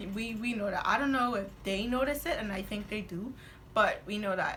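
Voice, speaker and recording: A woman with a fairly high pitch and ordinary pitch variation speaks at a moderate pace with long, frequent pauses, amid audible room echo and noticeable background noise. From Bahamas. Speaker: guest, twin sister of host. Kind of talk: casual chat.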